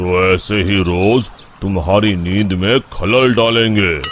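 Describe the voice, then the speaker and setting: A man puts on a cartoonish character voice at a fairly low pitch with fairly even intonation, with clear background noise behind him. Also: fairly slow pace. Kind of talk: devout, formal Hindi. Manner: calm, measured.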